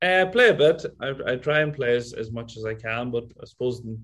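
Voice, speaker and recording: A man with a Donegal accent talks at a fairly quick pace. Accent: Donegal Irish. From Ireland, County Donegal. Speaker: golf resort owner. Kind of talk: casual interview.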